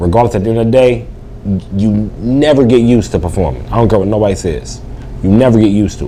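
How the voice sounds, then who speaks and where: The speech runs at a very fast pace with lively intonation, broken by long, frequent pauses. Audible room echo and noticeable background noise are present. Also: man, fairly low pitch for a man. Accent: American. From West Virginia, Bluefield. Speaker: comedian. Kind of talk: interview. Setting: bar venue. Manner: casual, halting with repetitions.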